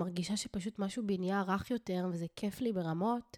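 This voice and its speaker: A woman's dark, mellow voice at a fairly quick pace, in a very clean recording with a silent background and a dry, close sound with no echo. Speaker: spiritual coach and podcast host. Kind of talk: casual solo monologue. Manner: animated.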